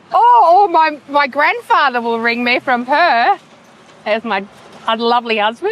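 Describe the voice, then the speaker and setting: A woman with an Australian accent, high in pitch with very wide pitch swings, at a moderate pace over noticeable background noise. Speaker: towing business owner. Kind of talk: interview. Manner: loud.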